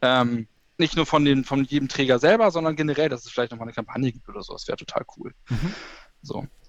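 Speaking at a very fast pace, a man with a fairly high pitch uses ordinary pitch variation and big swings in loudness, captured with a dry, close sound and no echo. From northern Germany, Schleswig-Holstein. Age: 30s. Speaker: kindergarten teacher. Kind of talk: interview. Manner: talkative, many fillers.

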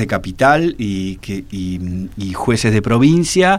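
Pitch leaps up and down enormously in this male voice. He drags his words out very slowly. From Argentina. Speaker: historian and author. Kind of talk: interview. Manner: halting, many fillers.

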